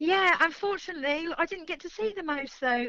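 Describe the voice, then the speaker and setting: Using a raised, projected voice, a woman speaks at an extremely high pitch with a bright, sharp tone and ordinary pitch variation. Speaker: radio caller. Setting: phone.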